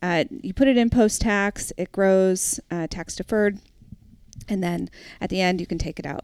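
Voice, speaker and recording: A woman with a plain, everyday voice and an American accent, medium pitch, ordinary pitch variation, moderate pace. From New Hampshire, US Northeast. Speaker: college savings plan director. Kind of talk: casual interview.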